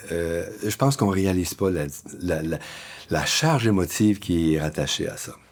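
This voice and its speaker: A man talks at a moderate pace with a very deep, low pitch and ordinary pitch variation. Noticeable background noise runs behind him. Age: 70s. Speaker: community worker. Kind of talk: personal testimony.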